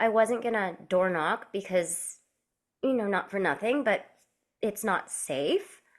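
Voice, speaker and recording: This woman has an ordinary speaking voice, with a medium pitch and ordinary pitch variation. She talks at a fairly slow pace on a very clean recording with a silent background. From Canada. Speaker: actor and real estate agent. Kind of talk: podcast interview.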